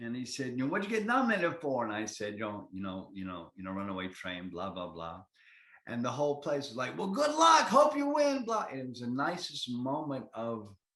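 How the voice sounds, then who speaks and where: A bright, sharp, enthusiastic and energetic male voice at medium pitch, with very wide pitch swings and a moderate pace. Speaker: actor. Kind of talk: interview answer. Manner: enthusiastic, energetic.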